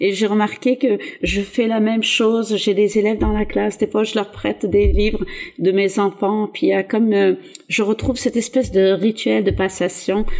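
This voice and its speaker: A woman speaks at a medium pitch and a moderate pace. Her loudness stays very even and her intonation is flat and monotone. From southeastern France (Var), born in Algeria. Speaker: teacher. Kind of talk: interview.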